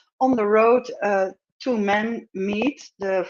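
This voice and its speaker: A woman speaks at a fairly slow pace with a Dutch accent. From Netherlands. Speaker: filmmaker and screenwriter. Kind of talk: pitch presentation. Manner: hesitant, many fillers.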